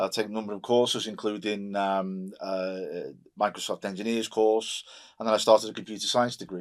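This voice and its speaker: A man's fairly low, monotone, flat voice at a fairly quick pace, on a very clean recording with a silent background. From Merseyside, England (Wirral, near Liverpool). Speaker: digital health executive, army veteran. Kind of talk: podcast interview.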